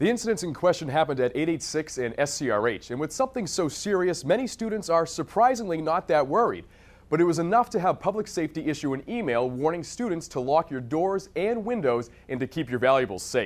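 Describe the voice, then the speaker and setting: A man's fairly high voice, very fast, with very wide pitch swings and hardly any pauses. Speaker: news reporter and anchor. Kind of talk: TV news report.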